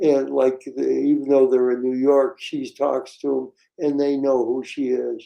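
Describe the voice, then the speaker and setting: At a fairly slow pace, a man speaks at medium pitch with monotone, flat intonation. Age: 80s+. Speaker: retired dentist. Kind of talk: interview. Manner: halting.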